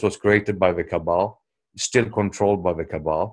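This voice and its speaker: Delivery comes at a fairly quick pace. Intonation stays fairly even. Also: man. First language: not English. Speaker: commentator on world affairs. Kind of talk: video call commentary; casual chat. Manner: unscripted, hesitant with fillers.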